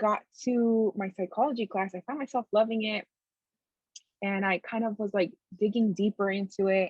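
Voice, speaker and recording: Speaking in a Spanish accent, a woman holds a medium pitch with monotone, flat intonation. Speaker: therapist. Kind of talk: casual interview.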